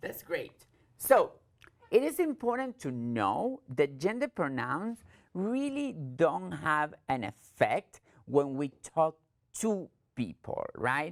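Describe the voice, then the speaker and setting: A woman with an Argentine accent speaks at a very slow pace with long, frequent pauses on a very clean recording with a silent background. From Argentina. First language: Spanish. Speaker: trainer. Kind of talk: training presentation.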